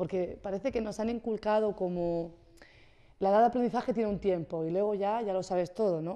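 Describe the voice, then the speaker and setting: Against a quiet background, a woman talks at a fairly quick pace. Her medium-pitched voice has ordinary pitch variation. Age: young. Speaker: wellness presenter; guest. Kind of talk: casual chat. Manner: fast; energetic. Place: studio. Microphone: studio mic.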